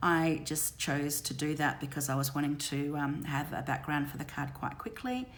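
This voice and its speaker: With audible room echo, the speech flows at a moderate pace with fairly even intonation and hardly any pauses. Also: woman, very deep, low pitch for a woman. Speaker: craft demonstrator. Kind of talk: tutorial. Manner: hesitant, many ums.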